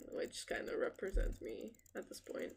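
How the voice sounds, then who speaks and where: A woman with a non-native accent. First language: not English. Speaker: art streamer. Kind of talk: casual live stream chat. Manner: halting.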